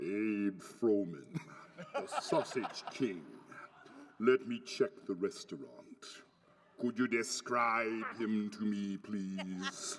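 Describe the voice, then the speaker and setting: A man's put-on character voice at a medium pitch, with fairly even intonation, a very slow pace, and long, frequent pauses. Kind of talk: comic impression. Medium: stage play. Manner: formal, measured.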